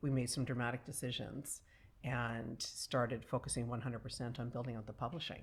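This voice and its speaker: Over a very clean recording with a silent background, a woman with a very deep, low pitch speaks somewhat breathily at a moderate pace. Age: 50s. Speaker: entrepreneur and publisher. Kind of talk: casual chat. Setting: filmed studio conversation.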